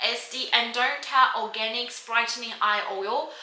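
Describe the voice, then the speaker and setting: Audible room echo and noticeable background noise behind a woman speaking at a high pitch. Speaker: beauty vlogger. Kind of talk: casual chat. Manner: fast.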